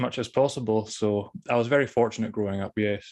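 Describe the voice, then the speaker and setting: This man talks at a fairly quick pace with a Scottish accent. His pitch sits in the medium range, and the background is quiet. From Scotland (Thurso, far north). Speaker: author on spirituality. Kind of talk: interview. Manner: careful enunciation, drops T's.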